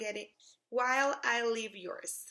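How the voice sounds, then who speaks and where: Against a quiet background, a woman with a Spanish accent speaks in a high-pitched, bright, sharp tone. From Mexico City. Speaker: English teacher. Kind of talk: self-introduction video, scripted. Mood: warm, earnest, enthusiastic. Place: home room. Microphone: phone near.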